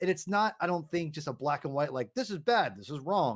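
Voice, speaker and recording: Loud and high-pitched, a man talks with ordinary pitch variation on a very clean recording with a silent background. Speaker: comic book podcast host. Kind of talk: casual chat. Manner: halting.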